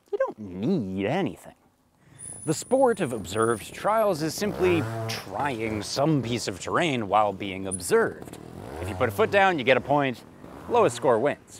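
A man's voice with very wide pitch swings, a dry sound with no echo, and noticeable background noise. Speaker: video host. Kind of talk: scripted explainer commentary. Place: forest.

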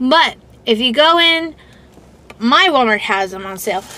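A woman's raised, projected voice makes very wide pitch swings, dry with no echo and over light background noise. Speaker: vlogger. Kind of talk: casual vlog chat. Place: car. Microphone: phone near.

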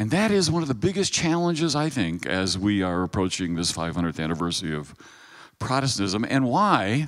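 Against a quiet background, a man with an American accent and a fairly low pitch talks at a fairly quick pace, his pitch swinging very widely. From US Pacific Northwest. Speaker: guest lecturer. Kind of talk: sermon. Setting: chapel with audience. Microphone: handheld.

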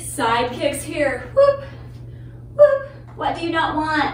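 A woman at a very slow pace, with light background noise and audible room echo. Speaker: fitness instructor. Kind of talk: workout class instruction. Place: home room. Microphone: camera far.

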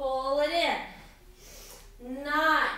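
A woman's voice comes through with strong room echo. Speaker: fitness instructor. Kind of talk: workout instruction with counting. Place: home room. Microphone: camera far.

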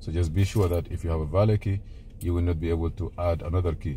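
Over light background noise, a man speaks very fast at a very deep, low pitch with a dark, mellow, somewhat breathy tone and a dry sound with no echo. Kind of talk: tutorial. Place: car. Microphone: phone near.

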